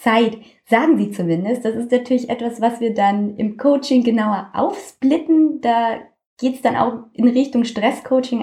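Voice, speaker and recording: A woman speaks at a moderate pace in a dark, mellow tone. Her pitch is fairly high, with ordinary variation. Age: 20s. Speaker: health coach. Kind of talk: interview.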